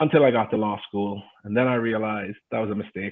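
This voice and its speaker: A man with a Jamaican accent at a fairly quick pace, with ordinary pitch variation. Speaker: adjunct professor and private equity investor. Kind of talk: panel talk.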